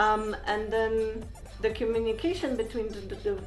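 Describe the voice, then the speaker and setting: A woman talks with a fairly high voice. Music can be heard behind her, and her pitch varies in an ordinary way. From Poland. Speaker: tech lead at a software company. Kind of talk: interview answer.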